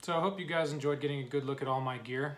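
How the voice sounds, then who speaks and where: Very fast speech from a man. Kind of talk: casual vlog chat. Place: home room. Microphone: phone near.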